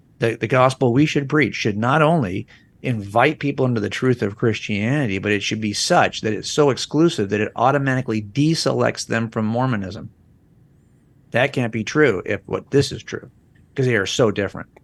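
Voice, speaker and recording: An unremarkable speaking voice belongs to a man at a medium pitch. He talks at a fairly quick pace with ordinary pitch variation. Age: 60s. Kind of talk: podcast interview.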